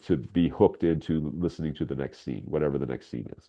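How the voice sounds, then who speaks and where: A man speaks at a very fast pace in a very deep, low pitch. Vocal fry runs through his voice. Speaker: radio drama writer and voice actor. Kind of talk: interview.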